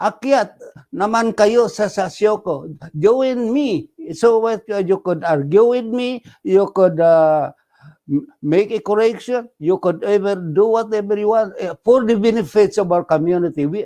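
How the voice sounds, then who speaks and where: Speaking at a fairly slow pace with a Filipino accent, a man uses a high pitch, a dark, mellow tone and ordinary pitch variation. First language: Tagalog. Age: 80s+. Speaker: radio host. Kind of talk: casual talk show monologue. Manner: halting.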